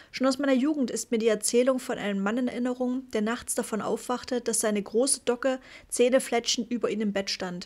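A woman's fairly high voice at a very fast pace, serious in tone, with fairly even intonation. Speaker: audiobook narrator. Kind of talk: audiobook reading of a nonfiction book. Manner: measured, even, serious storytelling pace; formal, sober, matter-of-fact.

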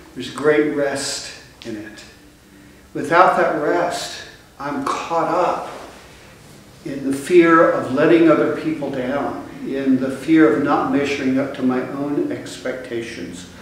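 A man speaks at a very slow pace with ordinary pitch variation, big swings in loudness, and strong echo from the room. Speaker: bishop preaching. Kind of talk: sermon. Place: church. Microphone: camera far.

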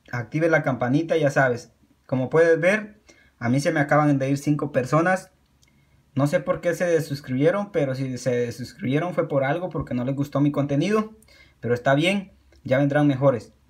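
A man talks at an unhurried, moderate speed, his pitch varying in an ordinary way, with a quiet background behind him. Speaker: YouTube creator. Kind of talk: pitchman promo, channel shout-outs and subscribe appeals. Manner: earnest, encouraging, repetitive, with halting self-corrections; casual, informal, friendly. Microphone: phone near.

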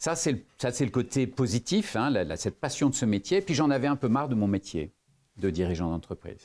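Swinging very widely in pitch around a medium level, a man speaks with vocal fry against a quiet background. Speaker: lawyer and former business executive; lawyer. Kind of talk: interview. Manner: hesitant, many fillers. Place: meeting room.

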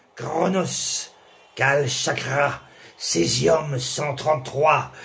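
A man's voice over noticeable background noise. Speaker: spoken word poet. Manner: rhythmic, punchy, staccato delivery; biting, sarcastic, angry tone.

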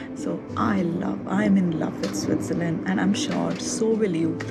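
Loud background noise accompanies a woman speaking at a fairly slow pace. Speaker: travel vlogger. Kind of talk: casual vlog chat.

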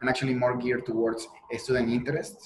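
A man with a Mexican accent speaks at medium pitch. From Mexico. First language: Spanish. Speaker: PhD student and teaching assistant in structural engineering; guest. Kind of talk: podcast interview. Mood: friendly, relaxed. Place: home room. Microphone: earbuds.

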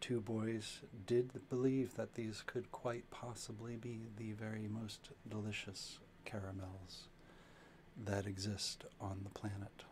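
Soft-spoken and slow, a man talks at a fairly low pitch with little pitch movement. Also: slightly mellow tone.

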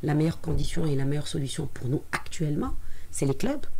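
Fairly even intonation runs through a dark, mellow voice marked by vocal fry. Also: woman. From Tunisia. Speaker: sports federation president. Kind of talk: radio interview. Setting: radio studio. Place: studio. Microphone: studio mic.

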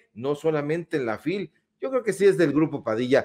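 A man is speaking. His pitch rises and falls over a very wide range. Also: quiet background. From Mexico. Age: 40s. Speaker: political talk show host. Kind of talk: online political talk show. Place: home room. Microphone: studio mic.

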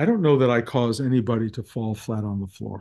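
Moderately paced, a man speaks in a dark, mellow tone. The background is quiet. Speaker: spiritual teacher. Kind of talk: talk to students. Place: home room. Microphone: webcam.

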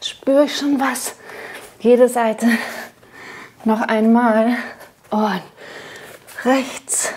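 A woman speaks at a high pitch and a very slow pace. Her intonation is monotone and flat. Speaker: fitness instructor. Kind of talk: workout instruction. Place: studio.

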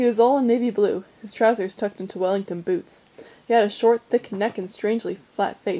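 A natural voice reading aloud

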